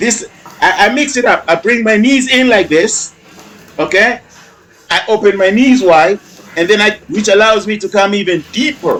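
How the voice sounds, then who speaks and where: Noticeable background noise sits behind a man with a high-pitched voice and an animated tone. He speaks at a moderate pace with ordinary pitch variation and long, frequent pauses. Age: 50s. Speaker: fitness trainer. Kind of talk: workout video commentary.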